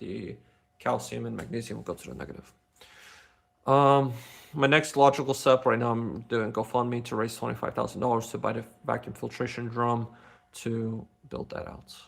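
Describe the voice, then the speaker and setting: A man with a non-native accent and a medium pitch speaks at a moderate pace with fairly even intonation. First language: not English. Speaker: inventor and tech streamer. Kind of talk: live stream Q&A. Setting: live stream. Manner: halting, many fillers and restarts.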